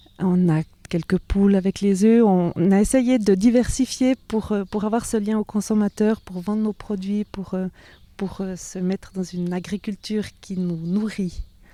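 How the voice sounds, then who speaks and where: A woman speaks at a medium pitch with a dark, mellow tone. Her pace is fairly slow and her intonation fairly even. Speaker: organic farmer. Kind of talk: interview. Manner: hesitant, many fillers.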